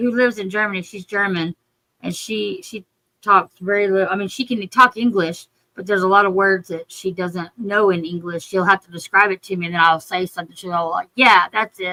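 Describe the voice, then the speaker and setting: A woman speaks at a fairly quick pace and medium pitch in a bright, sharp tone with fairly even intonation and big swings in loudness, the sound dry and close with no echo. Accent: Texan. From Texas. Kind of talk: casual chat.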